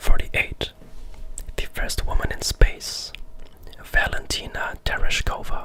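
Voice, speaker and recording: Whispering comes through with long, frequent pauses and noticeable background noise. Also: fairly slow pace. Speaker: ASMR creator. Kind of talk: ASMR fact narration. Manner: whispered.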